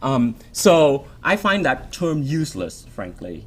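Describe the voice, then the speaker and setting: A man's lively intonation in a Vietnamese accent, over music in the background. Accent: Vietnamese rhythm. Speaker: author. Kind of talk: Q&A. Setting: stage with audience. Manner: strong cadence; halting.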